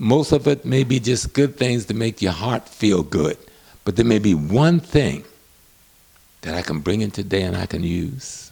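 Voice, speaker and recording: A somewhat breathy, dark, mellow tone with very wide pitch swings at a moderate pace. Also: man, fairly low pitch for a man. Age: 70s. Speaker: professor and historian. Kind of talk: interview.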